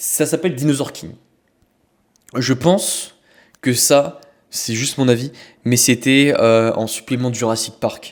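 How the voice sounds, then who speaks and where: Pausing long and often, a man talks at a very slow pace in a medium pitch with ordinary pitch variation. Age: 20s. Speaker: podcast host and men's coach. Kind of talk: casual podcast talk. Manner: casual, hesitant.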